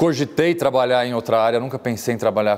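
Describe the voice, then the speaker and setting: This man talks at a fairly quick pace. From Brazil, São Paulo. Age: 40s. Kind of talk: interview conversation.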